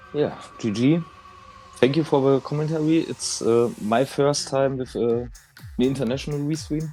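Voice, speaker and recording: The speaker is a man with a fairly high pitch who leaves long, frequent pauses. Music plays in the background. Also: ordinary pitch variation, moderate pace. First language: not English. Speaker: competitive gamer. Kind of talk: post-race thanks. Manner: halting.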